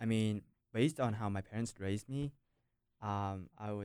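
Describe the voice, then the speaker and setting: A man with a Vietnamese accent speaks at a moderate pace with fairly even intonation. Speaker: university student. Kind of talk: casual discussion.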